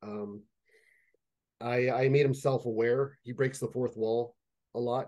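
Speaking in a Canadian accent, a man with a dark, mellow tone talks at a fairly slow pace in a monotone, flat intonation, with long, frequent pauses over a quiet background. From Canada, Toronto (Jane and Finch area); Toronto. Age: 30s. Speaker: fantasy writer; interviewee. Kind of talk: casual interview chat. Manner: halting, many fillers and repetitions. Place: home room. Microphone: video call.

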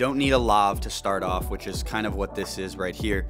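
Clear music plays behind a man whose very deep, low pitch carries at a moderate pace. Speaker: video creator. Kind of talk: tutorial. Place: home room. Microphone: lapel.

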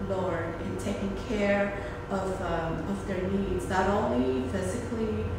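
A woman speaks at a moderate pace. Strong room echo and noticeable background noise surround her voice. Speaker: preschool director leading prayer. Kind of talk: fervent intercessory prayer, earnest and devotional, addressing God directly. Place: classroom. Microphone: phone near.

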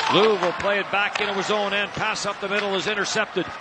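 A man with a high-pitched voice talks as noticeable background noise carries on. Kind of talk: hockey play-by-play commentary. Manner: rattles off passes and shots in a continuous stream.

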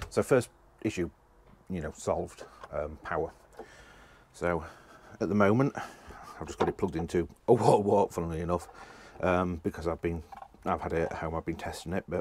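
Speaking at a fairly quick pace, a man has a very deep, low voice with ordinary pitch variation. The sound is dry with no echo, and there is light background noise. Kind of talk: tutorial. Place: boat. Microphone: phone near.

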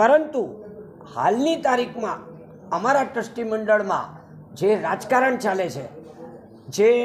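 A man's high voice with lively intonation, plus audible room echo and noticeable background noise. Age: 70s. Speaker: complainant. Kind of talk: press conference statement. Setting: press conference.

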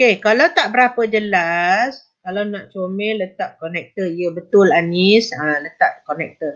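A woman's normal speaking voice at a medium pitch, ordinary pitch variation, a fairly slow pace and hardly any pauses. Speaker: teacher. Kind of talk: online exam-prep lesson.

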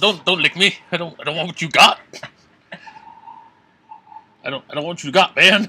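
A man performs a cartoonish character voice with a bright, sharp tone, a slightly husky edge, and a fairly high pitch, speaking at a moderate pace with ordinary pitch variation.

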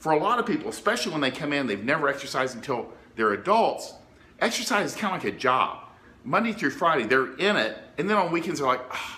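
A man talking very fast, his pitch swinging very widely. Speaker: fitness coach. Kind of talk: tutorial. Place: home room.

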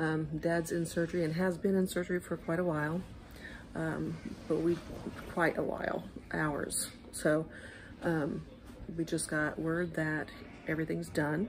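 Delivered at a moderate pace with long, frequent pauses, the speech has monotone, flat intonation and very even loudness over light background noise. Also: woman, fairly low pitch for a woman. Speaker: vlogger. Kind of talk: casual vlog chat. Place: hall. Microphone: phone near.

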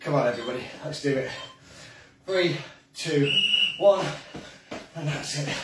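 A man at a fairly slow pace with ordinary pitch variation, light background noise and audible room echo. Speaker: fitness instructor. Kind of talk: live workout coaching. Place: kitchen. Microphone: camera far.

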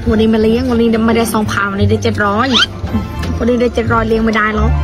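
Clear music plays behind a woman whose voice sounds dry, with no echo. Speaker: food vlogger. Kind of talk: casual interview answer. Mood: playful, mock-complaining. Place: street.

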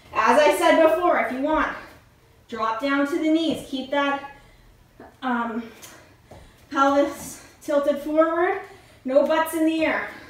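Speaking very slowly with long, frequent pauses, a woman uses a high voice and ordinary pitch variation. Audible room echo surrounds her. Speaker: fitness instructor. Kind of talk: workout instruction. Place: home room. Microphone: camera far.

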